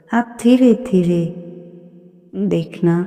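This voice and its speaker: Speaking at a very slow pace, a woman with a fairly low pitch is heard over noticeable background noise. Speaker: satsang narrator. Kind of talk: devotional talk.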